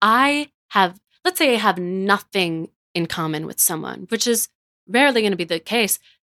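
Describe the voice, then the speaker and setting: Her pitch sits in the medium range, with ordinary variation, as a woman speaks at a moderate pace. The sound is dry and close, with no echo. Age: 20s. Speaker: podcast host. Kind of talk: casual chat.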